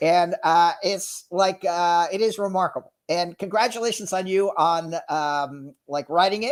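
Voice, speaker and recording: A loud man with an American accent and a high pitch, at a fairly slow pace with ordinary pitch variation and hardly any pauses. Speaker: sales executive and entrepreneur. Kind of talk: casual interview chat. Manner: energetic, animated.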